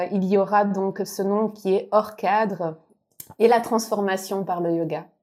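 A woman speaks at a very slow pace. Her voice sits at a medium pitch with fairly even intonation. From Belgium. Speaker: yoga podcaster. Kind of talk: game show banter.

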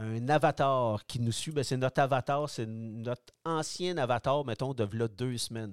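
In a Quebec accent, a man speaks at a medium pitch and a fairly slow pace with ordinary pitch variation. The sound is dry and close with no echo, on a very clean recording with a silent background. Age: 60s. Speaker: product designer, retired cyclist. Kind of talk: interview.

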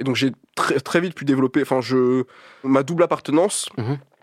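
A man at medium pitch with ordinary pitch variation, dry and close with no echo, on a very clean recording with a silent background. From Paris, 19th arrondissement. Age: 20s. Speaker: artist and art collective founder. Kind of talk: casual interview.

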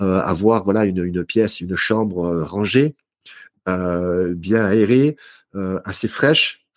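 Delivery is very unhurried, broken by long pauses that come often, with pitch shifting in a normal way. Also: man, very deep, low pitch for a man. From southern France, Marseille. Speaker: author and speaker on health. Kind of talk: interview conversation.

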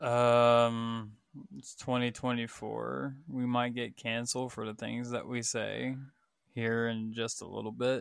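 Using monotone, flat intonation, a man with an American accent speaks slowly at a medium pitch. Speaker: gamer and musician, podcast co-host. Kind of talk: casual chat.

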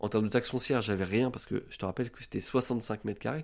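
Very fast male speech in a dark, mellow tone, with ordinary pitch variation. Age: 20s. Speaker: real estate investor. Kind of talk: podcast interview.

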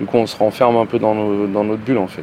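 A man speaks with a fairly low voice. Background noise is noticeable behind him. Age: 40s. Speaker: factory worker. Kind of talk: testimony.

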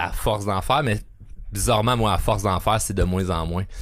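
A man's fairly low voice, animated in tone, at a moderate pace, on a very clean recording with a silent background. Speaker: podcast host. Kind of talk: casual chat.

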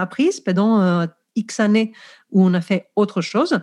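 This woman's voice has a dark, mellow tone. She talks at a moderate pace. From Greece. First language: Greek (speaking French). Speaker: professional coach, former teacher. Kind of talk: podcast interview.

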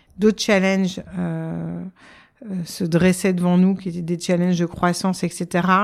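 A woman's fairly low, monotone, flat voice at a very slow pace in a very clean recording with a silent background. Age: 40s. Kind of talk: interview. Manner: hesitant, many fillers.

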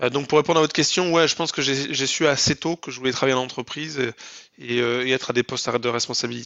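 Talking at a very fast pace, a man keeps his medium-pitched voice in a fairly even intonation. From southwest France (Lot). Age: 30s. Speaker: entrepreneur. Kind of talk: interview. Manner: hesitant with fillers.

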